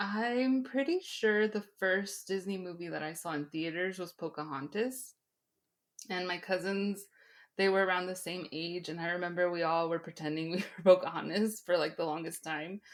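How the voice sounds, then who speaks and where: At a moderate pace and medium pitch, a woman with a Spanish accent speaks with ordinary pitch variation in a very clean recording with a silent background. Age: 30s. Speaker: podcast guest. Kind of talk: casual chat.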